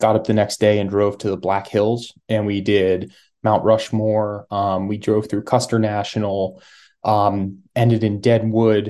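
A man's fairly low, dark and mellow voice, flat and monotone, at a fairly slow pace over a quiet background. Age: 30s. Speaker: hunter. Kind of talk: casual chat.

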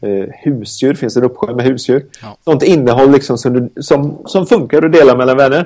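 A man speaks at a moderate pace with hardly any pauses. His medium-pitched voice has a dark, mellow tone and ordinary pitch variation. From rural Sweden. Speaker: tech entrepreneur, app founder. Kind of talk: interview. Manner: halting, many repeated words.

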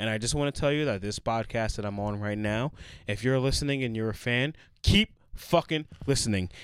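In a very clean recording with a silent background, a man talks at a fairly quick pace. He has an unremarkable speaking voice, medium pitch and ordinary pitch variation. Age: 30s. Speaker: podcast co-host. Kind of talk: casual chat.

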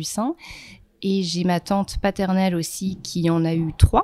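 Dark, mellow tone, recorded dry and close with no echo. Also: woman. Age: 30s. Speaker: breast cancer survivor. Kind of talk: testimony. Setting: photo shoot.

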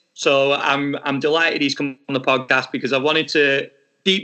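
Fairly high in pitch, a man talks with fairly even intonation. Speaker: podcast host. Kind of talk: podcast interview.

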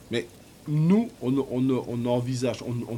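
A man with a normal speaking voice talks at a medium pitch and a fairly slow pace. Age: 50s. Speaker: factory worker and poet. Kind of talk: interview testimony.

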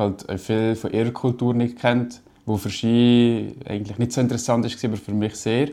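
A man talks in a monotone with flat intonation. His medium-pitched voice has a dark, mellow tone. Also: moderate pace. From Switzerland, Valais (Brig). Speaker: graphic designer. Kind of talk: interview.

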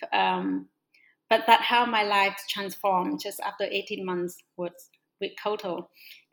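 Speaking at a fairly slow pace with a Vietnamese accent, this voice keeps a fairly even intonation and leaves long, frequent pauses. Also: woman, medium pitch for a woman. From northwest Vietnam. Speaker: social entrepreneur. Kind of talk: interview. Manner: halting, hesitant.

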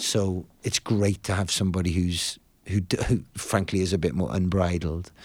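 Moderate pace, fairly even intonation and very even loudness on a very clean recording with a silent background. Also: man, very deep, low pitch for a man. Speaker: rock musician. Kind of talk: casual interview chat. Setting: studio.

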